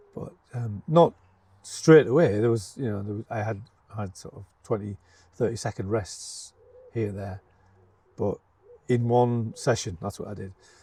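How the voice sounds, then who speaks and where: Somewhat breathy and dark, mellow in tone, a medium-pitched man speaks at a moderate pace with ordinary pitch variation, big swings in loudness, and long, frequent pauses. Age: 70s. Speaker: retired headteacher. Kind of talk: casual interview. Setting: outdoors in a garden. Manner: halting, many fillers and repeats.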